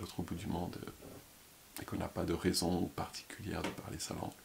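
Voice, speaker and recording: A man speaks over noticeable background noise. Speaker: YouTuber, former French teacher. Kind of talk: casual vlog monologue. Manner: fast.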